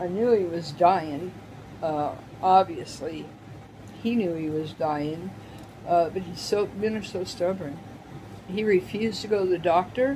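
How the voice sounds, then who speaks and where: Speaking with long, frequent pauses and ordinary pitch variation, a woman is heard in a room with audible echo and noticeable background noise. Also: fairly low pitch for a woman, fairly slow pace. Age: 60s. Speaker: senior lifestyle vlogger, widow. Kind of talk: personal testimony vlog. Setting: home video in her apartment. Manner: halting, emotional.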